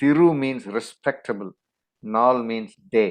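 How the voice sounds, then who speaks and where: With a Tamil accent, a man speaks fairly slowly at a medium pitch with ordinary pitch variation. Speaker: interview guest. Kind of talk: interview.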